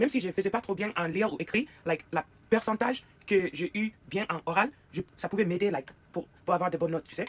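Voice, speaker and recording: Her intonation rises and falls with life. The woman rushes along at a very fast pace. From United States. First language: English (speaking French). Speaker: YouTuber. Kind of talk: casual chat while doing makeup. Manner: halting, hesitant non-native French; code-switching with English fillers.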